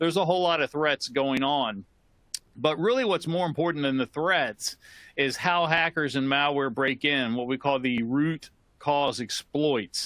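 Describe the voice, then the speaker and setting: A man speaks at a fairly high pitch with ordinary pitch variation and very even loudness. The sound is dry and close with no echo, over a quiet background. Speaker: computer security expert and trainer. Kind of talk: webinar lecture. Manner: fast.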